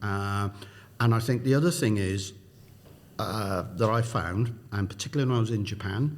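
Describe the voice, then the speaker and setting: A somewhat breathy man with a South Wales accent, in audible room echo. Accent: Welsh (South Wales). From South Wales, Newport. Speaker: business executive. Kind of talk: interview.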